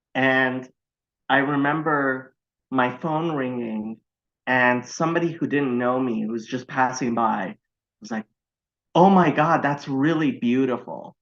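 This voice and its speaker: With a Californian accent, a man talks at a fairly slow pace with long, frequent pauses and ordinary pitch variation over a quiet background. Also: medium pitch for a man. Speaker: podcast guest. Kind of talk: casual chat. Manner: halting, many false starts.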